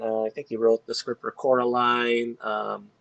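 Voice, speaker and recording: A man talks at a fairly slow pace in a medium pitch. The sound is dry and close, with no echo. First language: not English. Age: 30s. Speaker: dialysis nurse and game guide writer. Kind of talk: casual interview.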